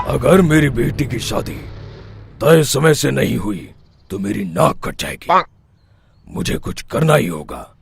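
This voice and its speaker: A man uses a put-on character voice, raspy and at a medium pitch. He speaks at a fairly slow pace with very wide pitch swings. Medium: cartoon.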